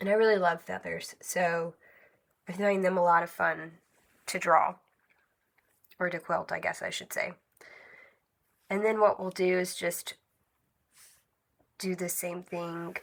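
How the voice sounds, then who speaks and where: A woman speaks at a medium pitch in a monotone, flat intonation. Her speech has long, frequent pauses. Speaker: quilting vlogger. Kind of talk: tutorial. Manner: casual, with fillers.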